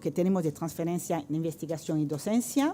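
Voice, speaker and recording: A woman with a French accent speaks in a dark, mellow tone at a fairly low pitch. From France. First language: French (speaking Spanish). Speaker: art professor, researcher. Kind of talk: round-table presentation. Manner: halting, many fillers.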